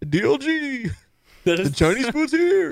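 A man's put-on character voice, extremely high in pitch, with very wide pitch swings.

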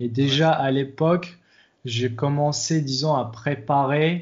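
A man's fairly high voice, very slow in pace, with fairly even intonation. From Morocco, Agadir. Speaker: software developer and fitness coach. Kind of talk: interview.

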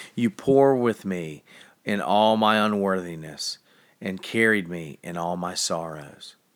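Heard on a very clean recording with a silent background, a man with an unremarkable speaking voice talks at a fairly slow pace, his fairly low pitch showing ordinary variation. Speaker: devotional reader. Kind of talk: reading aloud devotional, then fervent prayer. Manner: solemn, reverent, earnest; slow, fervent, heartfelt in prayer.

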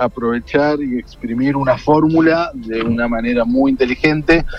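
Amid noticeable background noise, a man with a Rioplatense accent talks in a fairly high pitch with ordinary pitch variation. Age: 30s. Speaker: journalist and film critic. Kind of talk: radio interview. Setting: phone call from a car. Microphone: hands-free phone.

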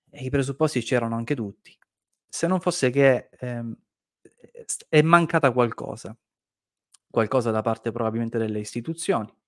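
Recorded dry and close with no echo, a man talks at a moderate pace and medium pitch, with ordinary pitch variation and long, frequent pauses. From Sicily (Caltagirone). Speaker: debt-relief show host. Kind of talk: live online talk show. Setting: studio livestream.

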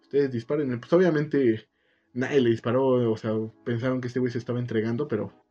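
A man speaks at a very fast pace in a medium pitch, with ordinary pitch variation. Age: 20s. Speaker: podcast co-host. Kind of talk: casual chat.

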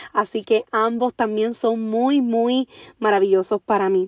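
A woman with a Puerto Rican accent speaks fairly slowly in a fairly high, animated voice. The sound is dry and close, with no echo. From Puerto Rico, Orocovis. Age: 30s. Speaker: podcast host, motivational speaker. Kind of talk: motivational monologue.

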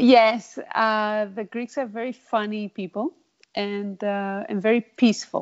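A woman talks at a fairly slow pace. Her intonation stays fairly even. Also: fairly high pitch for a woman. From Italy. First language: Italian. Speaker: interviewee, immigrant. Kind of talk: interview. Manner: hesitant with fillers.

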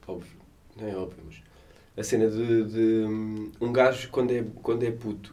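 Speaking at a moderate pace, a man has a medium pitch and a dark, mellow tone with fairly even intonation. Long, frequent pauses appear, and audible room echo surrounds his voice. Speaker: podcast co-host. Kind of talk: casual chat.

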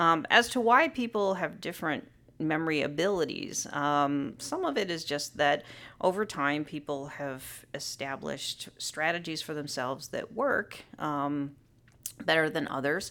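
A woman with a bright, sharp tone and a very deep, low pitch speaks at a fairly slow pace on a very clean recording with a silent background. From US, Southern California. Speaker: psychology professor. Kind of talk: interview. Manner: frequent filler words (um, uh).

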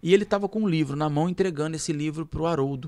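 A man's high-pitched voice comes through on a very clean recording with a silent background. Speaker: radio host. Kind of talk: casual chat.

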